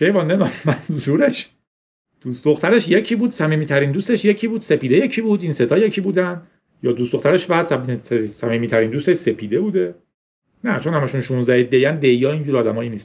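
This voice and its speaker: A man talks at a very fast pace in a fairly high pitch, his voice making very wide pitch swings. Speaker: tech podcast host. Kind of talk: casual solo podcast monologue. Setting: recording on a tablet with a separate camera.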